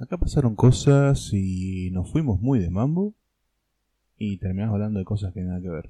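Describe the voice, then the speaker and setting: Speaking with a Rioplatense accent, a man uses a fairly low, dark, mellow voice with lively intonation at a moderate pace. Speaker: podcast host. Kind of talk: casual chat.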